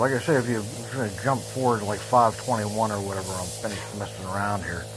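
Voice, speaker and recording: A man's voice with noticeable background noise and audible room echo. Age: 60s. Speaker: DIY YouTuber trying out welding tools. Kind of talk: casual voice-over commentary on own video. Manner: halting, rambling with many fillers.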